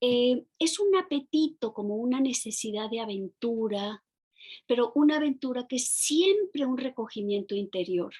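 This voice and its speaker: Her intonation is lively as a woman speaks at a high pitch. She keeps a fairly slow pace. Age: 60s. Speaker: novelist and poet. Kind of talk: interview. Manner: halting, many fillers and repetitions.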